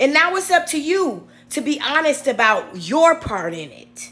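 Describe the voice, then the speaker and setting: An animated tone over music in the background. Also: woman. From Chicago, north side. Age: 40s. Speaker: YouTube commentator. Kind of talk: video commentary.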